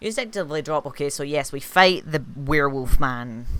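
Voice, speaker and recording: The speaker has a Scottish accent and a moderate pace. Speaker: streamer playing a video game. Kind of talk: live gameplay commentary. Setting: live stream. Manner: casual, with filler words.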